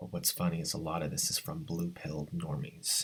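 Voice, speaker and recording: Quiet and at a moderate pace, a man speaks over music in the background. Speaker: video blogger. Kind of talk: casual commentary monologue. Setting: at home early morning. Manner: talking low, quiet.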